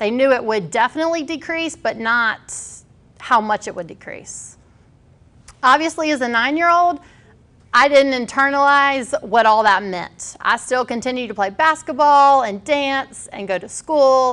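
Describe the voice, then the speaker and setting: Her voice is high-pitched and bright and sharp in tone, moving at a moderate pace while its loudness swings widely. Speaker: speaker, pastor. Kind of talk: personal talk to an audience. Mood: calm, reflective storytelling. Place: hall.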